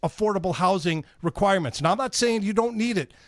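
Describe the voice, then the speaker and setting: Loud and high-pitched, a man speaks with lively intonation in a dry, close sound with no echo, a very clean recording over a silent background. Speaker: radio host. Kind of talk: casual chat.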